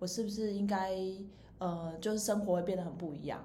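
Amid audible room echo and noticeable background noise, a woman talks at a fairly quick pace in a slight Taiwanese accent. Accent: Taiwanese Mandarin, slight. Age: 30s. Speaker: podcast host. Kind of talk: casual chat. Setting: rented recording space.

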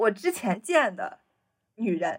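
At a moderate pace, a woman talks in a fairly high pitch. Her voice is somewhat breathy. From Shanxi, China. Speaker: podcast co-host. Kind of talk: casual chat.

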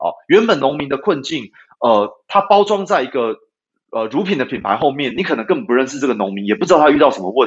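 A man talks at a very fast pace with a Taiwanese accent. His pitch swings very widely. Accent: Taiwanese Mandarin. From Taiwan, Taipei. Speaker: dairy cattle veterinarian and company founder. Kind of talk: interview. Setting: remote connection. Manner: hesitant, many filler sounds.

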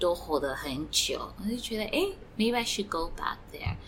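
Audible room echo surrounds a woman's voice. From Eswatini, then United States. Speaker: fashion brand founder. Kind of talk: interview. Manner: halting, with fillers.

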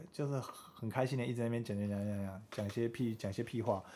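His pitch sits in the medium range. The man talks at a very fast pace. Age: 20s. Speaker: podcast co-host. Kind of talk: casual chat.

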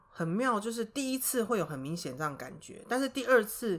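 A woman talks at a fairly quick pace with a Taiwanese accent and very wide pitch swings. The recording is very clean, with a silent background. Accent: Taiwanese Mandarin. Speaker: high school teacher. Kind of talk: interview.

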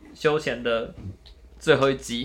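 The tone is bright and sharp. There is audible room echo. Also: man. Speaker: student podcast host. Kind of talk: casual chat.

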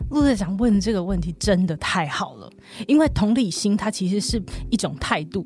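Her medium-pitched voice showing vocal fry, a woman speaks at a moderate pace with lively intonation. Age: 40s. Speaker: counseling psychologist. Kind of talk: casual chat.

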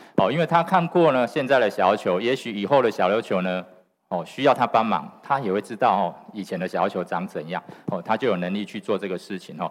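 A man with a fairly low voice talks at a fairly quick pace, his intonation lively. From Xiaoliuqiu, Pingtung, Taiwan. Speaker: guesthouse owner and conservationist. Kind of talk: talk to an audience. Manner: animated.

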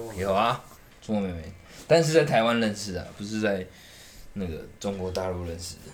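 With a Taiwanese accent and fairly low pitch, a man speaks at a fairly quick pace with lively intonation and big swings in loudness. He takes long, frequent pauses, and audible room echo is present. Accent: Taiwanese Mandarin. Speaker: podcast co-host. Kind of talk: casual chat.

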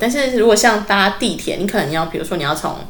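At a fairly quick pace, a woman of medium pitch speaks with a Taiwanese accent and lively intonation. Noticeable background noise and audible room echo are present. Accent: Taiwanese Mandarin. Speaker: former kindergarten teacher. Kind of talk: casual interview chat.

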